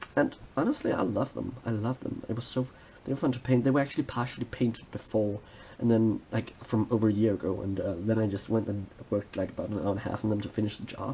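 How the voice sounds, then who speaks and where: Very fast and somewhat breathy, this voice carries a dark, mellow tone with fairly even intonation. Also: man, medium pitch for a man. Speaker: hobby vlogger. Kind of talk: hobby tutorial vlog.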